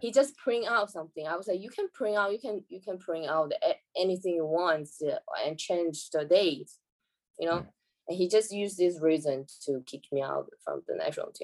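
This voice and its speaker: Speaking with a Chinese accent, a woman keeps a moderate pace and lively intonation. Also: medium pitch for a woman, big swings in loudness. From China. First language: Mandarin. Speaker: professional badminton player. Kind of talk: casual interview chat. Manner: halting.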